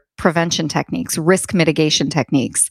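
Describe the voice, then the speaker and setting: In a very clean recording with a silent background and a dry, close sound with no echo, a woman with an American accent has an unremarkable speaking voice, a fairly low pitch and ordinary pitch variation. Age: 40s. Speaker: HR consultant and author. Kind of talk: interview.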